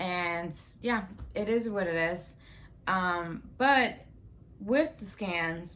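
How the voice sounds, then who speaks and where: A woman speaks at a very slow pace with long, frequent pauses, and the room echo is audible. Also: medium pitch for a woman, ordinary pitch variation. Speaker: cancer survivor vlogger. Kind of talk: casual vlog monologue. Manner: halting, many fillers.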